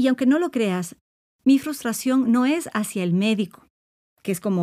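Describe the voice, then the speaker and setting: A woman with an unremarkable speaking voice talks at a moderate pace with lively intonation, captured in a very clean recording against a silent background. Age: 50s. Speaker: psychologist and podcast host. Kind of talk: solo podcast monologue on self-esteem.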